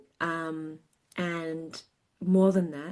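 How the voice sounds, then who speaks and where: Over a quiet background, a woman talks with an Australian accent. Her pitch is fairly low and her pace very slow. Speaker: sales consultant. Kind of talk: casual interview chat. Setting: remote call, early morning. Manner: hesitant with fillers.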